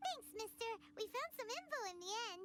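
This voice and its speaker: A squeaky put-on character voice, extremely high in pitch and fairly quick, with clear background noise. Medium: video game. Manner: lively, casual.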